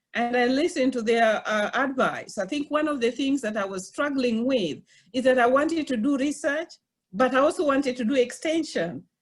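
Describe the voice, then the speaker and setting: In a non-native accent, a woman talks at a moderate pace with a high pitch and lively intonation. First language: not English. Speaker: college professor. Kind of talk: webinar panel talk. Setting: online webinar. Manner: halting.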